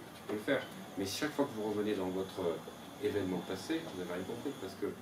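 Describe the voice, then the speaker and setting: A man's very fast speech, fairly low in pitch with ordinary variation, amid audible room echo and noticeable background noise. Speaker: seminar leader. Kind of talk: seminar lecture. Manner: animated.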